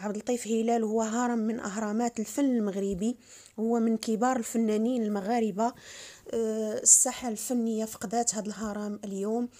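Speaking at a moderate pace with a Moroccan accent, this voice keeps a monotone, flat intonation throughout. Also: woman, fairly high pitch for a woman. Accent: Moroccan Arabic (Darija). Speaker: vlogger. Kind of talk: news announcement with condolences.

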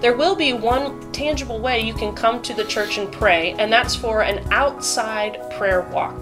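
A woman talks at a fairly slow pace. Clear music plays in the background. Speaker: pastor. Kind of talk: church announcements chat. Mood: warm, upbeat. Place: home room.

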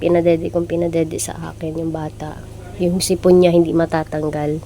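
Over noticeable background noise, a woman with a fairly low pitch speaks at a fairly quick pace in a monotone, flat intonation. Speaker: vlogger and new mother. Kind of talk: casual vlog narration. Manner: soft-spoken.

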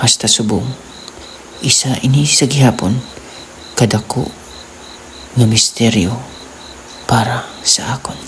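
Noticeable background noise runs under a man's speech. He keeps fairly even intonation and leaves long, frequent pauses. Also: medium pitch for a man, fairly slow pace. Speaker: horror storyteller. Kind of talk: spooky first-person ghost story narration, told as a personal experience.

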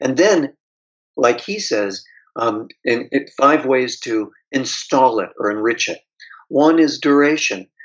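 A man with an American accent at a very slow pace with lively intonation, against a quiet background. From US, Pittsburgh; Pennsylvania. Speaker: author and trauma therapist; guest. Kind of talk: interview. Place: home room. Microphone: video call.

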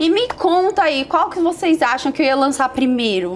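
Moderate pace with lively intonation. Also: woman. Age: 30s. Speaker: beauty youtuber. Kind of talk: makeup tutorial and product review. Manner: animated. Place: home room.

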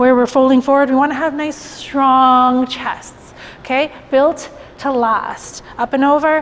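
The intonation stays fairly even. The pace is fairly slow. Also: woman. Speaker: fitness instructor. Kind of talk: workout instruction. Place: studio. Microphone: lapel.

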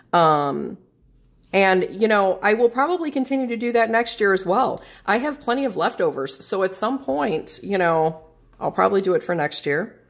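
This woman's voice sits at a medium pitch but swings very widely up and down. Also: moderate pace. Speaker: planner hobby YouTuber. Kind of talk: casual vlog tutorial. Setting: home video recording. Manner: halting with fillers.

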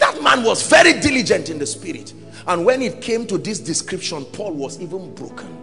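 Faint music plays in the background. A man speaks over it at a fairly quick pace. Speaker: preacher. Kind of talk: sermon preached to a congregation. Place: church. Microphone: handheld.

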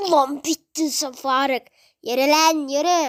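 A put-on character voice sits at a high pitch. It moves at a fairly slow pace. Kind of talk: street slang. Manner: aggressive, barking commands.

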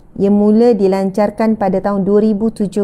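A woman's somewhat breathy voice with a dark, mellow tone. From Malaysia. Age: 30s. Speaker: religious teacher. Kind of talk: religious lecture. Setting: live stream with audience present. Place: home room. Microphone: lapel.

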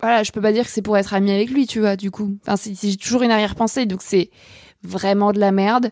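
Recorded very cleanly against a silent background, with a dry, close sound and no echo, a woman speaks fairly quickly at a medium pitch with fairly even intonation. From France. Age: 20s. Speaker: podcast host, journalist. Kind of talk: sponsor thanks and outro; casual personal monologue. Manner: hesitant with many fillers.

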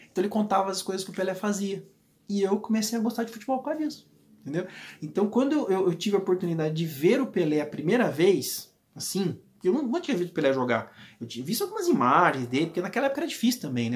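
A man talks very fast at a high pitch. His animated tone carries very wide pitch swings. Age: 40s. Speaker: football YouTuber. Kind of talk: casual vlog monologue. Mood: warm, nostalgic. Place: home room.

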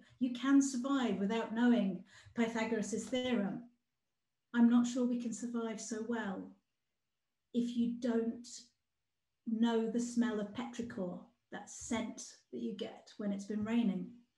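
A woman speaks fairly slowly and high for a woman, in a dark, mellow tone with monotone, flat intonation and long, frequent pauses. Room echo is audible over a quiet background. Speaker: outdoor play campaigner. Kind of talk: presentation. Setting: video call. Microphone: video call.

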